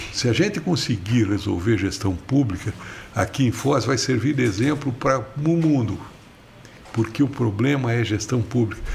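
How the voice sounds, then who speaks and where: A man speaks with very even loudness. There is noticeable background noise. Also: medium pitch for a man, ordinary pitch variation, moderate pace. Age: 70s. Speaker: politician, former mayor and mayoral candidate. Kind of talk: podcast interview.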